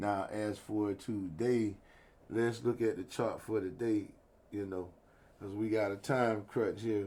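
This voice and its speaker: A man's fairly low, dark and mellow voice, fairly slow in pace, with monotone, flat intonation. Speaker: stock trading video host. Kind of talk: market analysis tutorial. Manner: casual.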